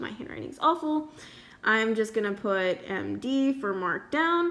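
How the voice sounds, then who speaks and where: This woman speaks with lively intonation. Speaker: student art sale organiser. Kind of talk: screen-recorded tutorial. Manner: hesitant, many fillers.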